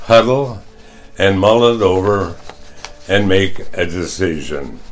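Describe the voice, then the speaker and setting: A man with a Midwestern US accent at a very slow pace, with audible room echo. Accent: US Midwest. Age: 90s. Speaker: retired teacher and coach, care home resident. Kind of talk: testimony.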